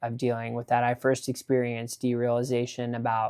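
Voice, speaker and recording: A man with a West Coast accent speaks at a medium pitch. The sound is dry and close with no echo, in a very clean recording with a silent background. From California. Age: 30s. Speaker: vlogger. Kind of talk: personal vlog update. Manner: halting.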